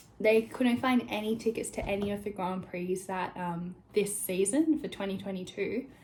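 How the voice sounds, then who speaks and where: A woman speaks with an Australian accent and ordinary pitch variation. Her voice is somewhat breathy. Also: medium pitch for a woman. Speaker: vlogger. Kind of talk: casual vlog chat. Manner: fast, chatty.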